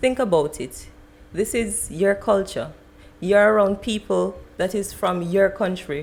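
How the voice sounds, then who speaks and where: Speaking with a Jamaican accent, a woman keeps a fairly slow pace. Her pitch is medium, with ordinary variation. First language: Jamaican Patois. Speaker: podcast guest. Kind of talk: casual debate. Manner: animated.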